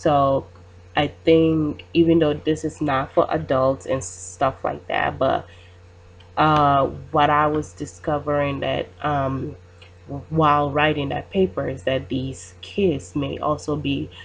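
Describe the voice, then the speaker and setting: The speaker goes at a very slow pace with vocal fry. The intonation is lively. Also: woman, very deep, low pitch for a woman. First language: not English. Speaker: student. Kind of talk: class presentation. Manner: halting, many fillers.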